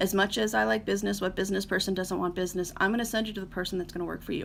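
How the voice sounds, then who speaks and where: Vocal fry runs through a woman's voice. She speaks at a medium pitch with ordinary pitch variation. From US, Northeast Ohio. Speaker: wedding planner. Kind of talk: live stream talk to viewers. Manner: fast; hesitant, many fillers.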